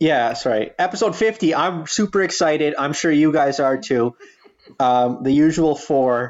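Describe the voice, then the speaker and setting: In an ordinary speaking voice, a man talks at a moderate pace with a fairly high pitch, lively intonation and very even loudness. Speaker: podcast host. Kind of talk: casual chat.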